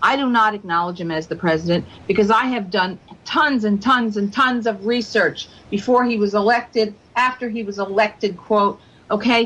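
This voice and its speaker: Speaking at a moderate pace, a woman with a plain, everyday voice pitches fairly high and varies it in an ordinary way. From United States. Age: 60s. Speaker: radio show guest. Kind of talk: radio interview. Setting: radio show.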